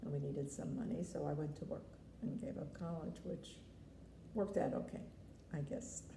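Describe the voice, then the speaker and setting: With an American accent, a woman speaks with long, frequent pauses amid audible room echo and noticeable background noise. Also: moderate pace. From New York City, the Bronx. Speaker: grandmother interviewed about family history. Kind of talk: family interview.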